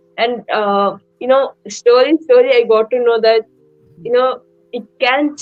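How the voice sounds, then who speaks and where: The woman talks at a fairly slow pace. Her intonation stays fairly even. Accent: Indian. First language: Indian language. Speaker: young app user. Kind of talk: live stream panel talk. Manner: halting, many fillers.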